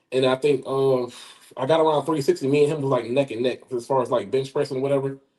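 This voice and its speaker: A man at medium pitch talks at a very fast pace with an Alabama accent and fairly even intonation. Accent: Southern US (Alabama). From US South, southeast Alabama. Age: 40s. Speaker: powerlifter and firearms instructor. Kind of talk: interview. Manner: halting, many fillers and repetitions.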